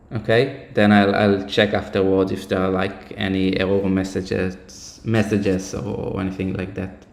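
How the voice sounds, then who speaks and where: With hardly any pauses, a man speaks in a monotone, flat intonation over noticeable background noise. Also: fairly low pitch for a man, moderate pace. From Israel. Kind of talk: casual talk on live stream.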